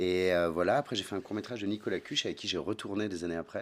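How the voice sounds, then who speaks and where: Fairly quick delivery from a man with a fairly low-pitched voice. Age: 40s. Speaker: actor. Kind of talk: casual chat.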